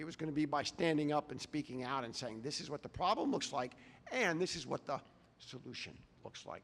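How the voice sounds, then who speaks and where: Fairly quick in pace, a man with an unremarkable speaking voice talks at a fairly high pitch with ordinary pitch variation. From Texas. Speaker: addiction recovery advocate. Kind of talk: public talk. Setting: stage with audience.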